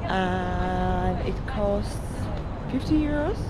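Music plays in the background as a woman speaks. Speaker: travel vlogger. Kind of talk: casual vlog chat. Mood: excited. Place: waterside. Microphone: phone near.

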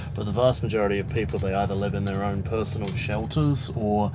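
A man at a very fast pace, with ordinary pitch variation and noticeable background noise. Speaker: war journalist guest. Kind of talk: interview answer. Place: train.

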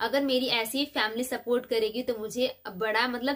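An animated, dramatic tone comes through at a moderate pace against a quiet background. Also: woman. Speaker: vlogger. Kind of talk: casual chat replying to viewer comments. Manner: animated, dramatic delivery. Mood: relaxed and friendly. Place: home room. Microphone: phone near.

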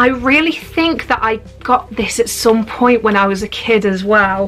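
Faint music sits in the background. A woman talks at a fairly slow pace with ordinary pitch variation. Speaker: unboxing vlogger. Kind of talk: casual vlog chat. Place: home room. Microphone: camera far.

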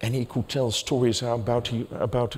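The speaker is a man with a Dutch accent. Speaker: journalist and writer on stage. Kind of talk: moderated public conversation. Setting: stage with audience. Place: stage. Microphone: headset.

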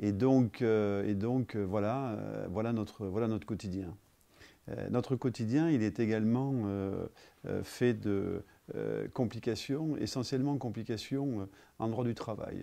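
At a very slow pace, a man speaks in a fairly low pitch and a dark, mellow tone, with ordinary pitch variation. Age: 50s. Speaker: business owner. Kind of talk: testimony. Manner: halting. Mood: calm, concerned. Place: office.

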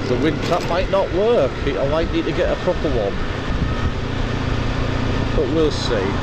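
Loud background noise surrounds a dry sound with no echo. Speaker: motorbike commuter vlogger. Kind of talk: casual vlog chat. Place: motorbike. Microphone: helmet.

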